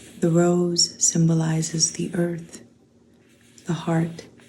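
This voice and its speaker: A woman's fairly low, somewhat breathy voice, dark and mellow and calm in tone, with monotone, flat intonation at a very slow pace. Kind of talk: oracle card reading. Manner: slow, calm.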